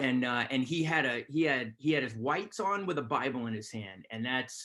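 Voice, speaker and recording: The voice is loud, with a bright, sharp tone. It moves at a moderate pace with lively intonation. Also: man, medium pitch for a man. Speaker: army chaplain. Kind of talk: webinar talk. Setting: video call.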